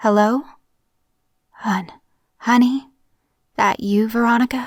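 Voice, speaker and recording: In a put-on character voice, the speaker sounds raspy and moves at a fairly slow pace. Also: female-sounding voice, fairly high pitch for a woman. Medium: read story. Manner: broken fragmented speech, repeating herself.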